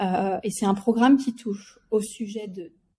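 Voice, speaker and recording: A very slow, somewhat breathy, dark and mellow woman's voice, fairly high in pitch with ordinary pitch variation, on a very clean recording with a silent background. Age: 40s. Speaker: company executive. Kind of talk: interview.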